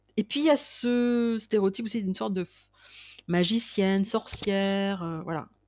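A woman with an ordinary speaking voice talks at a moderate pace, her medium pitch showing ordinary variation, on a very clean recording with a silent background. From Paris suburbs, France. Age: 50s. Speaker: creativity consultant and painter. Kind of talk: interview.

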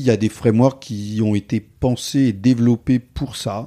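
Speaking at a very slow pace, a man has a dark, mellow tone in a dry, close sound with no echo. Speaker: software developer and conference speaker. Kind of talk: podcast interview. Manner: animated.

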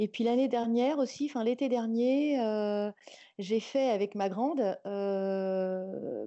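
Very slowly, a woman speaks at a fairly high pitch with ordinary variation. Her loudness stays very even. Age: 50s. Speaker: newborn photographer. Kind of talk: interview. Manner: halting.

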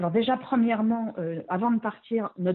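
A woman's unremarkable speaking voice, fairly slow, with ordinary pitch variation. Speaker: expatriate mother. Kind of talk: interview testimony.

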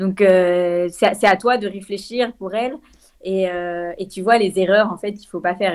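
Her pitch medium and her pace moderate, a woman is speaking. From France, Lyon. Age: 20s. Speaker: trail runner and law student. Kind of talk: interview. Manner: hesitant, many fillers.

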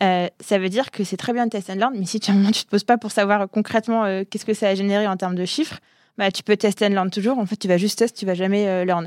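Fairly quick and fairly even in intonation, the speech comes through in a very clean recording with a silent background. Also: woman, medium pitch for a woman. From Algeria and France. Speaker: startup founder. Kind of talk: interview. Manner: fast.

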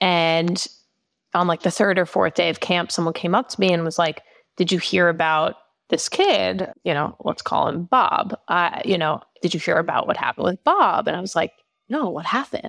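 A woman's moderate-paced speech with an American accent, in a dry, close sound with no echo. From Long Island, New York. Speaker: nonprofit marketing director. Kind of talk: interview. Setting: call.

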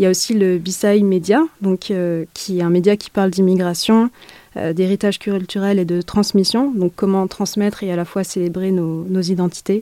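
Dark and mellow in tone, a woman speaks at a moderate pace with fairly even intonation. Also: medium pitch for a woman, dry, close sound with no echo. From France, Essonne. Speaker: activist. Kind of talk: interview. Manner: halting.

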